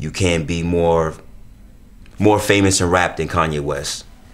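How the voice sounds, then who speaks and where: Fairly even intonation comes through audible room echo. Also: man. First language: Spanish. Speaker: stylist, actor and model. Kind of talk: interview. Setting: on location.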